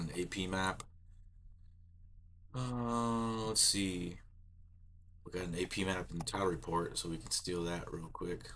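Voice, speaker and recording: A man speaks at a moderate pace in a very deep, low pitch with a bright, sharp tone. His intonation is fairly even, and the room echo is audible. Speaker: land surveyor. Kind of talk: tutorial. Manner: casual.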